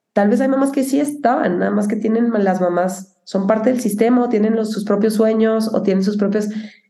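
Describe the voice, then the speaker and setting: A woman with a fairly high pitch, ordinary pitch variation, a fairly quick pace and hardly any pauses, with audible room echo. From Mexico (Cuauhtémoc, Chihuahua). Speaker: film producer. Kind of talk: interview conversation.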